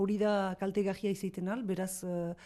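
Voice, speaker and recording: Against a quiet background, a woman talks in a dark, mellow tone. Her pitch is medium and her intonation fairly even. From Northern Basque Country, Itsasu. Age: 50s. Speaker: sheep farmer. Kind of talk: interview. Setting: farmhouse. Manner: halting.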